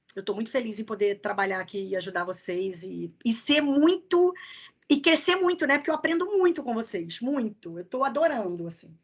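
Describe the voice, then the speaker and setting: The speaker, with a strong Rio accent, swings very widely in pitch. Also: woman, fairly high pitch for a woman. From Rio de Janeiro, Niterói. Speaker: HR recruiter, career mentor. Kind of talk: online masterclass, casual Q&A. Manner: fast.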